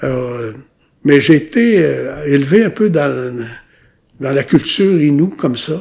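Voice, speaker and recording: A man with a fairly high voice speaks at a very slow pace, his lively intonation broken by long, frequent pauses. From Quebec, Ilnu community of Mashteuiatsh, Lac-Saint-Jean. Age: 70s. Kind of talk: interview, life story. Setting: recorded at his home community. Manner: hesitant, many repetitions and fillers.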